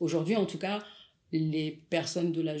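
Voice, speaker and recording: This woman has a very deep, low pitch. She talks at a moderate pace. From Paris suburbs, France. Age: 40s. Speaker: photographer and content creator. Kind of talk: casual interview.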